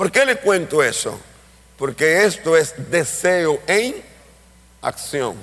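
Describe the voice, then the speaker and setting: A man speaking very slowly, his pitch swinging very widely. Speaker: pastor and missionary. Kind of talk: sermon.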